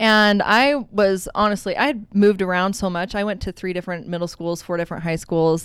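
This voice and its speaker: A woman's plain, everyday voice at a medium pitch, fairly quick and with ordinary pitch variation, in an American accent, on a very clean recording with a silent background. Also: hardly any pauses. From Utah. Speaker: hairdresser. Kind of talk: casual chat. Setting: studio.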